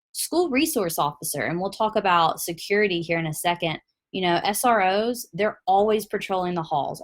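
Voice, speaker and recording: A woman with a Tennessee accent, at a moderate pace with ordinary pitch variation. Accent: Southern US, Tennessee. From US South, Tennessee. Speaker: product presenter. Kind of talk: webinar presentation.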